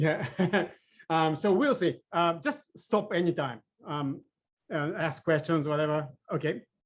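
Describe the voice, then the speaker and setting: Fairly slow speech from a man in a Japanese accent, fairly high pitch, ordinary pitch variation, and long, frequent pauses. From Japan (Sapporo). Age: 50s. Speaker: AI engineer. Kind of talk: presentation. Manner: halting, many fillers.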